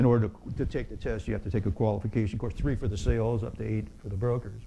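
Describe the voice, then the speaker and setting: Vocal fry runs through a dark, mellow tone delivered at a very fast pace, with audible room echo. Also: man. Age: 60s. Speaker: real estate exam instructor. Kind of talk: lecture. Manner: halting.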